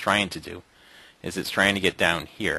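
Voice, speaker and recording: A man's bright, sharp tone carries vocal fry. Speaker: day trading room host. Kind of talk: trading recap tutorial. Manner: fast; animated.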